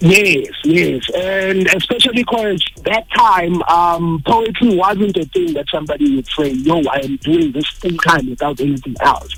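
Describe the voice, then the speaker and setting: With music in the background, a high-pitched man with a Zulu accent speaks at a fairly slow pace with lively intonation and hardly any pauses. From South Africa. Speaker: poet. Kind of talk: radio interview.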